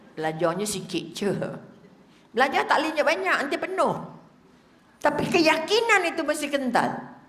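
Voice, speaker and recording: A woman's high, animated voice with very wide pitch swings, at a moderate pace with long, frequent pauses, amid noticeable background noise and audible room echo. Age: old. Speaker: religious teacher. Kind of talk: religious lecture.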